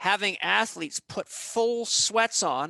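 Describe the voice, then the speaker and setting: A man projects a raised voice with a bright, sharp tone. The sound is dry and close with no echo, on a very clean recording with a silent background. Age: 50s. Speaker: holistic health and exercise expert. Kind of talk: podcast interview. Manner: animated.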